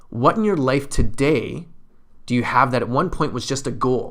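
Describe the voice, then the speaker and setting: A man speaks in an unremarkable speaking voice, medium in pitch, at a moderate pace with ordinary pitch variation. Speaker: weight loss coach. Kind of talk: motivational talk.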